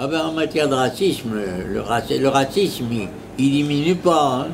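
Noticeable background noise surrounds a man. He speaks at a moderate pace. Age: 80s+. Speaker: retired primary school teacher and headmaster. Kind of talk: interview answer. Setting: bakery café. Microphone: lapel.

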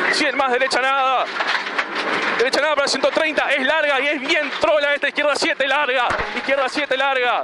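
Loud background noise sits under this dry, echo-free speech at a moderate pace. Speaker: rally co-driver. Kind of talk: rally co-driver pace notes call. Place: car. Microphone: headset.

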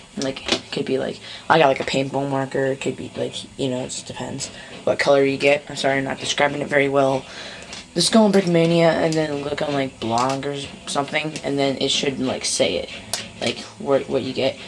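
Background noise is clearly audible. The delivery runs fairly fast. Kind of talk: casual unboxing show-and-tell. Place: home room. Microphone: phone near.

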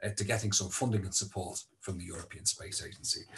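Speaking at a fairly quick pace, a man uses a fairly low pitch and sounds somewhat breathy. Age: 30s. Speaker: space industry business developer, former actor and singer. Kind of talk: presentation. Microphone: video call.

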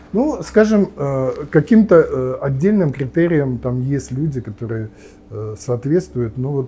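A man's fairly high, somewhat breathy voice with a dark, mellow tone, very wide pitch swings and a fairly slow pace. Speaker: nuclear physicist and politician; politician. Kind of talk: interview. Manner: halting, many fillers. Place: cafe.

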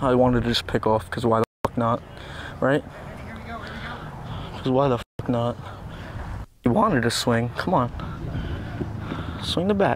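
A man at a moderate pace with lively intonation and long, frequent pauses, in a dry sound with no echo and noticeable background noise. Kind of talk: casual mic'd-up chatter. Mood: bored, then frustrated. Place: open country. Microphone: lapel.

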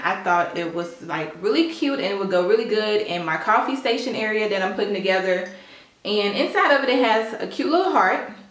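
Audible room echo at a moderate pace. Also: woman. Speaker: home decor vlogger. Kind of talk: casual haul vlog chat. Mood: cheerful, enthusiastic. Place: kitchen. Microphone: camera far.

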